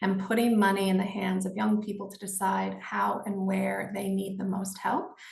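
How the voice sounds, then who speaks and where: At a moderate pace, a woman talks over noticeable background noise, with audible room echo. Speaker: nonprofit executive director. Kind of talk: panel discussion. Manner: hesitant, many fillers.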